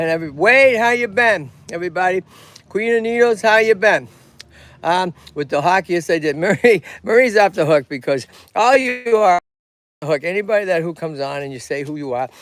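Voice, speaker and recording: In a Boston accent, the speaker talks at a fairly quick pace with an animated tone. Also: man, high pitch for a man, lively intonation. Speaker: tortoise rescue owner and streamer. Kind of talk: live stream casual chat. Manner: animated, halting with fillers.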